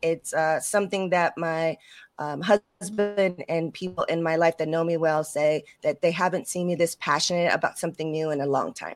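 A woman with an ordinary speaking voice talks at a moderate pace and a fairly low pitch, with fairly even intonation and hardly any pauses, on a very clean recording with a silent background. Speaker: web3 expert guest. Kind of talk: casual interview.

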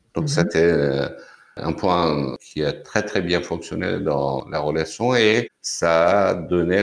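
This man speaks with a Persian accent at a very slow pace and a very deep, low pitch, using ordinary pitch variation, on a very clean recording with a silent background. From Iran, Tehran. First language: Persian (speaking French). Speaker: cultural venue director. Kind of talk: interview.

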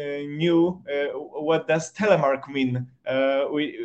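A man with a Polish accent speaks at a fairly high pitch. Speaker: sports journalist. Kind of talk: interview. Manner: halting.

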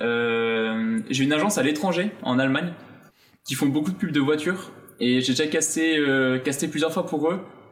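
A man speaks at a moderate pace and fairly high pitch, with ordinary pitch variation and very even loudness. Long, frequent pauses break up his speech, and the room echo is audible. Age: 20s. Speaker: fashion model. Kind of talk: casual chat.

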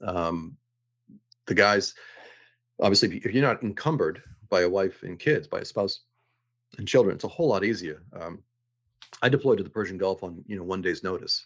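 Speaking in a Boston accent, a man with a fairly low pitch moves at a fairly quick pace but takes long, frequent pauses. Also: ordinary pitch variation. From Boston, Massachusetts. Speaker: navy veteran and lawyer. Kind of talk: interview.

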